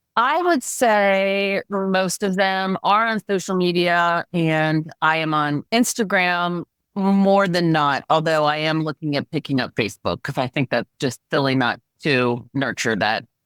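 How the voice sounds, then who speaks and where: An unremarkable speaking voice belongs to a woman who talks fairly slowly with hardly any pauses, lively intonation and fairly low pitch, captured in a very clean recording with a silent background and a dry, close sound with no echo. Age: 60s. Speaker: aspiring speaker and life coach for women. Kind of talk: coaching session.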